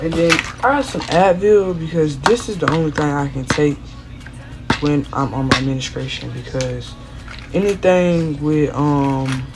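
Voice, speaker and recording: Quiet and very deep, low-pitched, a woman speaks at a fairly slow pace with ordinary pitch variation, amid noticeable background noise and audible room echo. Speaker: vlogger. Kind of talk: casual vlog unboxing.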